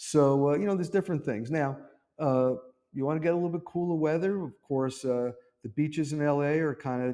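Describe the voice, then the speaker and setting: The speaker talks at a fairly quick pace in an East Coast American accent, with a dark, mellow tone. The background is quiet. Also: man. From US East Coast, New York City. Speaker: real estate agent and local vlogger. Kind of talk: casual talk to camera.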